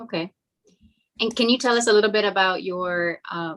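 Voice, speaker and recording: A woman with an American accent speaks at a moderate pace and a fairly low pitch. The sound is dry and close, with no echo. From US, Hialeah, Florida. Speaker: bar association officer, interviewer. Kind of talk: interview.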